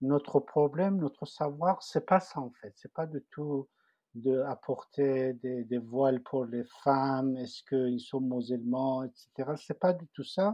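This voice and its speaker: Speaking very slowly in a Persian accent, a man at medium pitch shows ordinary pitch variation and big swings in loudness. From Iran, Tehran. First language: Persian (speaking French). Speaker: refugee cartoonist. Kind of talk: personal testimony. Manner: halting, many repetitions and fillers.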